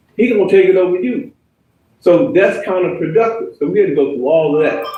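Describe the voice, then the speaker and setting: Music in the background and audible room echo around a man's high, lively voice at a fairly quick pace. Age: 60s. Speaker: hip hop founder and former rap artist. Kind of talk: speech at networking event. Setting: networking event with audience.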